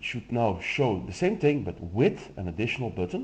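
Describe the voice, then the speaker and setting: Somewhat breathy, a man with a Flemish accent speaks at a moderate pace with very wide pitch swings. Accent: Flemish Dutch accent in English. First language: Dutch. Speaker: software demo presenter. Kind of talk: tutorial.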